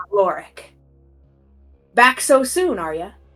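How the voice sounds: A woman's put-on character voice, high-pitched with very wide pitch swings, over music in the background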